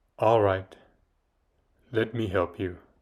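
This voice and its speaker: On a very clean recording with a silent background, a man uses a put-on character voice at a fairly low pitch. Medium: read story. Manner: menacing, commanding.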